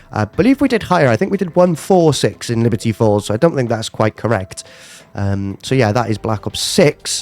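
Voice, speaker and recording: A man with a British accent speaks at medium pitch with very wide pitch swings and a fairly quick pace. The sound is dry and close with no echo, and music plays in the background. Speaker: gaming youtuber. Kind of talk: casual gameplay commentary. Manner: hesitant, many fillers.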